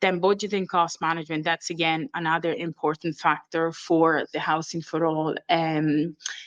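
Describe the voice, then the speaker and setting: This woman talks at a moderate pace in a fairly low pitch, with hardly any pauses and very even loudness. The sound is dry and close, with no echo. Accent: Italian. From Italy. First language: Italian. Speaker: training and development manager. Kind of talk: conference presentation. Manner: hesitant, many fillers.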